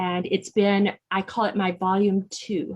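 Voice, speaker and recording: A woman speaks at a moderate pace. She has an ordinary speaking voice at medium pitch. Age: 60s. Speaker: non-profit executive director. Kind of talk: interview.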